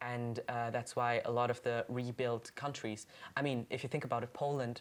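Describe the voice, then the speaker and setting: This voice carries a German accent. It moves at a moderate pace. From Germany, Cologne. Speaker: podcast co-host. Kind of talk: casual chat.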